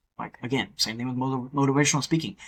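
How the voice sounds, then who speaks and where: A man speaks at a medium pitch. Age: 30s. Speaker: podcast host. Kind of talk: casual chat. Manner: fast; animated.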